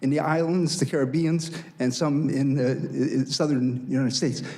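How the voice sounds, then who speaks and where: This man's voice sits at a fairly high pitch. There is audible echo in the room. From Estonian refugee family, raised in Sweden then North America. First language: Estonian. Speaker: panelist, academic. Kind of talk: panel discussion talk. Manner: halting.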